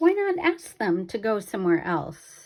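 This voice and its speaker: A put-on character voice that sounds female, medium in pitch for a woman, at a moderate pace. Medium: read story. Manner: calm, cheerful.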